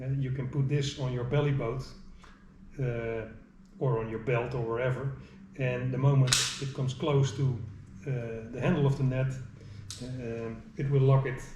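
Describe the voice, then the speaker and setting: A man with a Dutch accent speaks at a moderate pace and medium pitch in a monotone, flat intonation, with long, frequent pauses. Audible room echo and noticeable background noise are present. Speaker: angler. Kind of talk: tutorial. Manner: halting.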